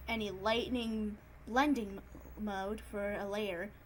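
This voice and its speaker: A woman with a fairly high pitch and a somewhat breathy voice talks amid audible room echo. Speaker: digital art youtuber. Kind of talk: tutorial. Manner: improvised, hesitant.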